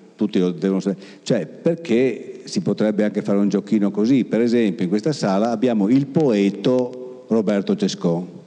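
This man's dark, mellow tone sits at a fairly low pitch, and he moves at a fairly quick pace. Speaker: event presenter and teacher. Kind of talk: interview. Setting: stage with audience. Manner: halting.

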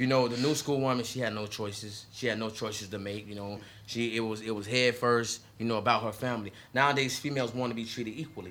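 The speaker talks very fast in an American accent. The intonation stays fairly even. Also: man, medium pitch for a man. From Southwest Florida, Lee County. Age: 30s. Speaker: podcast co-host. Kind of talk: casual chat.

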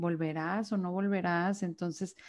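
An unremarkable speaking voice from a woman, medium in pitch, with fairly even intonation at a fairly slow pace against a quiet background. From Mexico, Monterrey, Nuevo León. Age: 20s. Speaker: psychologist. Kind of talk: casual interview conversation.

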